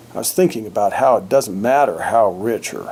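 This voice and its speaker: There is noticeable background noise. A man with an American accent speaks at a medium pitch with lively intonation. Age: old. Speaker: grandfather vlogger. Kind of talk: reading aloud.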